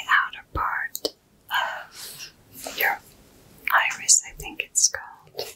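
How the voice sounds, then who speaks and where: A woman whispering at a very slow pace. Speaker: content creator. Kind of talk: soft-spoken roleplay-style tutorial chat. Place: home room.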